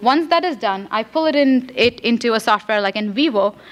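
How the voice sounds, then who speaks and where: A woman with a Marathi accent is heard on a very clean recording with a silent background. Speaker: graduate student researcher. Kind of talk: conference presentation. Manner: fast; halting, many fillers.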